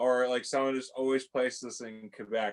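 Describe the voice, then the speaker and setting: This man has a medium pitch and a slight Canadian accent. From Canada. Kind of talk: casual chat. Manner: animated.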